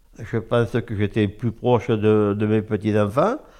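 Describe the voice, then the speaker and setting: There is vocal fry in this man's fairly low pitch, which varies in an ordinary way. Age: old. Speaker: retired oyster farmer. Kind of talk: interview. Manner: halting.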